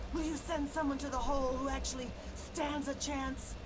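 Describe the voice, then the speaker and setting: A put-on character voice at a high pitch over loud background noise. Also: moderate pace. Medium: machinima. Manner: blunt, curt.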